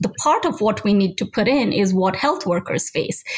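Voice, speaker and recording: Somewhat breathy and fairly high, a woman's voice moves with lively intonation at a moderate pace. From Nigeria. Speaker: health and human rights lawyer. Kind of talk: interview.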